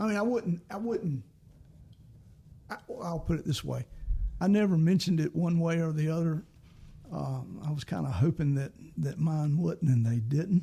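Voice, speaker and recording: With a Southern US accent, a man with a fairly high voice talks at a moderate pace, leaving long, frequent pauses. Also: ordinary pitch variation. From US South, South Carolina. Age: 70s. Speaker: singer-songwriter. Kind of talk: casual chat.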